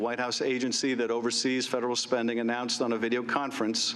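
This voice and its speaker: Noticeable background noise runs behind this man. He talks at a very fast pace in a medium pitch. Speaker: congressman. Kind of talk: formal opening statement at hearing.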